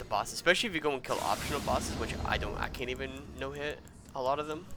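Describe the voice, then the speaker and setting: A man's medium-pitched voice at a very fast pace, with music in the background. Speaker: gamer, streamer. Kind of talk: casual gameplay commentary.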